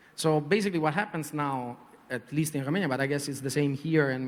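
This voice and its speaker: The speaker has a strong Italian accent, talks at a fairly quick pace, and uses ordinary pitch variation. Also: man. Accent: heavy Italian. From Italy. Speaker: advertising creative director. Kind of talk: panel discussion. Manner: hesitant, many fillers.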